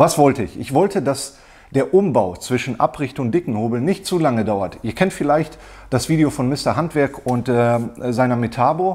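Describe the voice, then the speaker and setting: A man speaks at a moderate pace over a quiet background. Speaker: woodworking hobbyist reviewer. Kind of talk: casual product review chat. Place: workshop.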